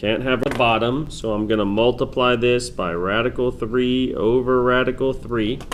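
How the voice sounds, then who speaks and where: Speaking at a moderate pace with hardly any pauses, a man uses medium pitch and fairly even intonation. Audible room echo and noticeable background noise come through. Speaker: math teacher. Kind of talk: tutorial.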